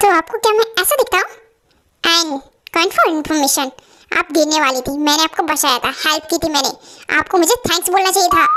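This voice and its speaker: Squeaky and extremely high-pitched, a woman performs a put-on character voice. She moves along at a fairly quick pace. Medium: fan dub. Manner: firm, lecturing.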